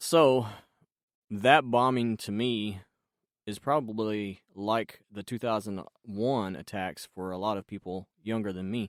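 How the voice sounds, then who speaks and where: Fairly low in pitch, a man with a normal speaking voice talks at a fairly slow pace with ordinary pitch variation and big swings in loudness, in a very clean, dry, close recording with no echo and a silent background. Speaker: voice actor. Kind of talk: podcast host talk. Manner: casual, conversational.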